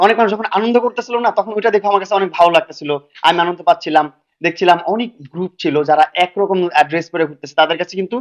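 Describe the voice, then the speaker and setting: A high-pitched man is heard in a dry, close sound with no echo. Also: ordinary pitch variation. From Bangladesh, Dhaka. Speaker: social media creator. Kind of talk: interview.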